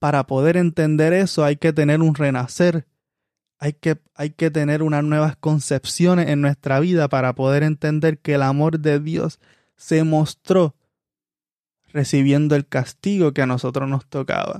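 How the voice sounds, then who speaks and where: A man's fairly high voice with a dark, mellow tone, flat monotone delivery at a fairly slow pace, dry and close with no echo, on a very clean recording with a silent background. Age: 20s. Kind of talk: sermon.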